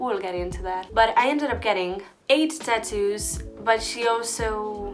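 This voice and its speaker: A woman with a fairly high pitch and an animated tone, ordinary pitch variation, audible room echo and music in the background. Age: 20s. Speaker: YouTuber. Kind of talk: storytime vlog.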